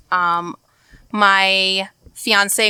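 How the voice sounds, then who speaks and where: A woman's medium-pitched voice with an American accent, a bright, sharp tone and ordinary pitch variation. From US Midwest, Chicago suburbs. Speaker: podcast guest. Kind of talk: casual chat. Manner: animated.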